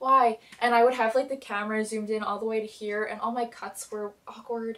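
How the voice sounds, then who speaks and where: This woman's voice sits fairly high and moves at a fairly quick pace. Her intonation is monotone and flat. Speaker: TV show reviewer / YouTuber. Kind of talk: casual vlog review. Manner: soft-spoken; chatty, many fillers.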